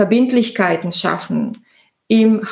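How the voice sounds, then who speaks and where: Very slowly, a woman with a fairly high, somewhat breathy voice speaks with ordinary pitch variation. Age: 40s. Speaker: entrepreneur. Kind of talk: interview.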